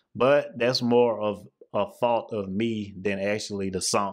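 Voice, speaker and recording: A man with a fairly low pitch and monotone, flat intonation, against a quiet background. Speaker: music reaction youtuber. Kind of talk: casual reaction commentary. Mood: apologetic, self-mocking. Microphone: studio mic.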